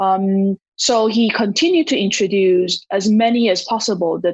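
A woman with a Taiwanese accent speaks at a fairly slow pace in a somewhat breathy, medium-pitched voice with ordinary pitch variation, recorded with a dry, close sound and no echo. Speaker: marketing executive and startup investor. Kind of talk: interview. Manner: hesitant, with frequent fillers.

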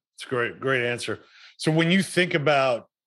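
Using an unremarkable speaking voice, a man talks fairly quickly with ordinary pitch variation. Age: 40s. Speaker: podcast host. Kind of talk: interview. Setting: video call.

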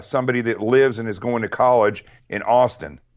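Speaking in an American accent, a man with an ordinary speaking voice keeps a moderate pace and a medium pitch. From Arkansas, US South. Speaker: guest with military and law enforcement background. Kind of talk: casual interview chat.

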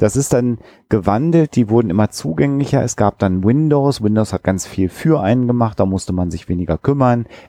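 The man's voice sits at a medium pitch with a dark, mellow tone and lively intonation. He moves at a fairly quick pace, and the sound is dry and close with no echo over a quiet background. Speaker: podcast host, psychologist. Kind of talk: casual discussion.

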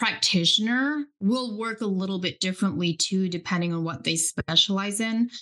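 On a very clean recording with a silent background, a woman's bright, sharp tone carries lively intonation at medium pitch. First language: Pennsylvania German. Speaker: nutrition coach. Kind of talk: interview.

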